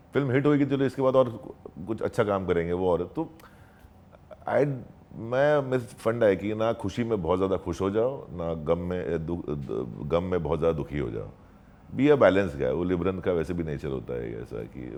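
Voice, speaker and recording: With vocal fry and a very deep, low pitch, a man speaks at a moderate pace, his pitch swinging very widely. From Marathi household, India. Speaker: actor and dubbing artist. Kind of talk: interview answer.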